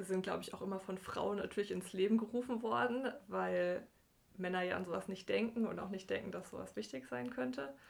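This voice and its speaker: With vocal fry and lively intonation, a woman at medium pitch talks at a fairly quick pace. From southwestern Germany, Bergstraße between Heidelberg and Frankfurt. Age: 20s. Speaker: computer scientist / programmer. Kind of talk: casual interview.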